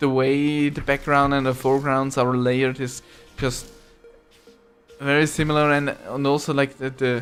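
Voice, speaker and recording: Over music in the background, a man talks with a non-native accent. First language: not English. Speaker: gaming video reviewer. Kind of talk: gameplay commentary review. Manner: halting, many fillers and restarts.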